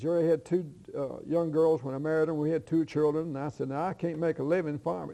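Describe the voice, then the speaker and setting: Delivered at a very fast pace, this voice has a Kentucky accent. The tone is dark and mellow, and the intonation is fairly even. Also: man. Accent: southern US, Kentucky. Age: 70s. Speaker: retired farmer and former county official. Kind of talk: interview.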